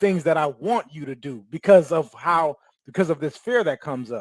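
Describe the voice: With lively intonation at a moderate pace, a man of fairly high pitch speaks in a dry, close sound with no echo.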